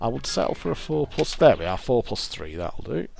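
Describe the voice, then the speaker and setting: The man's pitch swings very widely as music plays in the background. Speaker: fruit machine player. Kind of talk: casual gameplay commentary.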